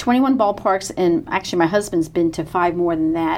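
A woman's plain, everyday voice with an American accent, fairly low in pitch, at a moderate pace with lively intonation. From New York. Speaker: baseball fan, minor league team staff. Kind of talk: casual chat.

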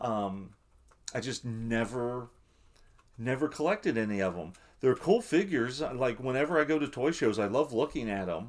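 A man with a normal speaking voice talks at a moderate pace and medium pitch with lively intonation, on a very clean recording with a silent background. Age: 40s. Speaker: podcast co-host. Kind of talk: casual chat.

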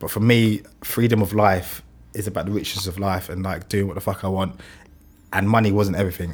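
A man with a London accent talks fairly quickly at fairly low pitch in a flat, monotone delivery, on a very clean recording with a silent background. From West London. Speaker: illustrator and motion designer, studio founder. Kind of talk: casual podcast interview. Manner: fast talker.

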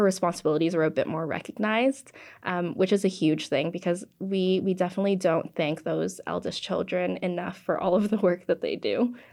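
A woman with a Canadian accent talks in an ordinary speaking voice at medium pitch and a moderate pace, with ordinary pitch variation against a quiet background. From Canada. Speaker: podcast producer. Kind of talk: interview.

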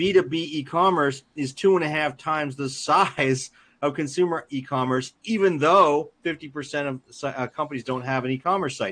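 A man talks at a moderate pace with hardly any pauses. His pitch is fairly high, with ordinary variation. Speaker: ecommerce executive and author. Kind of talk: interview. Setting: live stream. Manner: authoritative.

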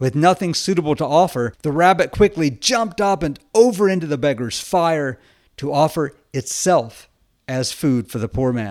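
A man with an ordinary speaking voice and a fairly high pitch talks with lively intonation on a very clean recording with a silent background. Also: moderate pace. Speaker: Orthodox priest podcaster. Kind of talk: folk tale narration, storytelling a myth in a gentle, measured storyteller's voice.

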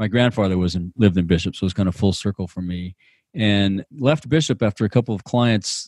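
On a very clean recording with a silent background and a dry, close sound with no echo, a man talks fairly quickly in an ordinary speaking voice, fairly low in pitch with ordinary pitch variation. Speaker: outdoor industry podcaster and business coach. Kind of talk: casual interview chat.

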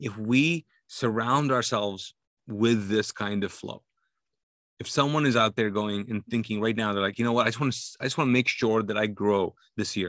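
Over a quiet background, a man talks at a moderate pace and medium pitch with ordinary pitch variation. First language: not English. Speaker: pastor. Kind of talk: casual interview.

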